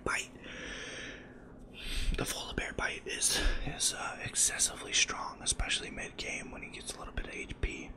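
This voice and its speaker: A whispered voice comes through noticeable background noise. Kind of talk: gameplay commentary, soft-spoken ASMR style. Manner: soft-spoken, whispering, slightly fast.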